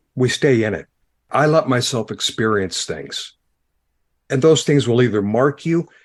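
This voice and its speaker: A man speaks with an American accent at a moderate pace, his pitch varying in an ordinary way. Long, frequent pauses break up his speech against a quiet background. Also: medium pitch for a man. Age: 60s. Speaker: former pastor, podcaster. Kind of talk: podcast interview.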